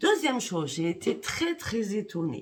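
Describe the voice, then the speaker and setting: A woman at a medium pitch speaks at a fairly slow pace, her voice making very wide pitch swings. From Paris, France. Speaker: psychic YouTuber. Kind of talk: direct-to-camera monologue. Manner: indignant.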